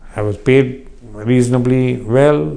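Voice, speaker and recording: A man with an Indian accent, medium pitch and ordinary pitch variation, amid audible room echo. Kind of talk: interview. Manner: halting.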